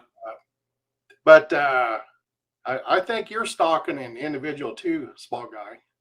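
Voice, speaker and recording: A man talks at a fairly slow pace and a fairly high pitch, with lively intonation and big swings in loudness. Long, frequent pauses break up his speech, and music plays in the background. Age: 60s. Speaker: cemetery video creator. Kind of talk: casual chat. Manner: halting.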